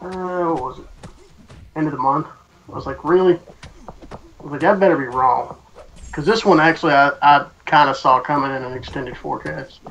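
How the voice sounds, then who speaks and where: Speaking at a moderate pace with long, frequent pauses, a man with a Southern US accent uses a fairly high pitch and ordinary pitch variation amid noticeable background noise. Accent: Southern US twang. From US South. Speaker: online gaming co-streamer. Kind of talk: casual chat. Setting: Skype call.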